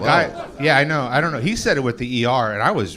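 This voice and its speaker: A man with a medium-pitched voice talks at a fairly quick pace over noticeable background noise. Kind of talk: casual. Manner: lethargic, slightly thuggish cadence.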